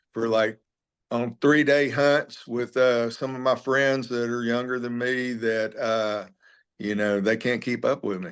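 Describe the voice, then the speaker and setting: A man with a Texan accent speaks at a fairly slow pace and a medium pitch. His intonation stays fairly even against a quiet background. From Texas, Alvin near Houston. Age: 60s. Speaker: former cattle rancher, animal sanctuary founder. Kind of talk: interview.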